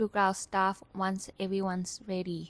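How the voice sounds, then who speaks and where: A woman at medium pitch and a moderate pace, in a dry, close sound with no echo and a quiet background. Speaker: student intern vlogger. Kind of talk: scripted narration.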